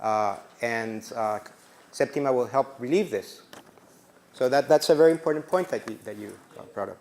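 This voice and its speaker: Speaking at a moderate pace with a non-native accent, a man uses a medium pitch and lively intonation, with big swings in loudness and long, frequent pauses. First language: not English. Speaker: workshop instructor. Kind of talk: lecture. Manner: halting.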